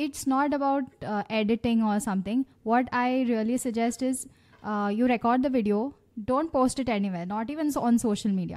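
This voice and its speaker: A woman has a normal speaking voice and a fairly high pitch. Her pitch varies in an ordinary way, and her pace is moderate. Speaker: podcast host. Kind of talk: casual interview.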